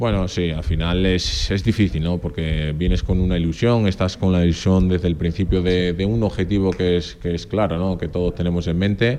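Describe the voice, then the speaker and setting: A man speaks with an Extremaduran accent at a very deep, low pitch, with hardly any pauses. Noticeable background noise runs under his voice. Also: ordinary pitch variation, moderate pace. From Extremadura, Spain (born in Portugal). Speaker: professional footballer. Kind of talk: radio interview.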